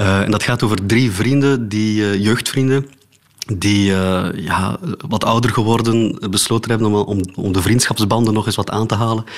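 A man with a fairly low pitch and fairly even intonation at a moderate pace, amid noticeable background noise. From Flanders, Oudenaarde. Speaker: philosopher and theatre maker. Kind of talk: radio interview. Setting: home studio, remote.

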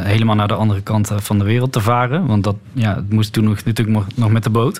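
There is noticeable background noise. Over it, a man talks with fairly even intonation. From Netherlands. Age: 30s. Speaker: author. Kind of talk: interview. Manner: halting.

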